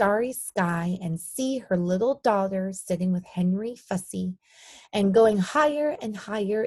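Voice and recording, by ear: Reading aloud in a natural voice, with ordinary pitch variation and a quiet background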